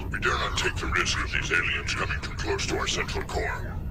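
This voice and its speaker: A man puts on a character voice at a fairly quick pace. Loud background noise runs under him. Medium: fan dub. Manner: imperious, menacing.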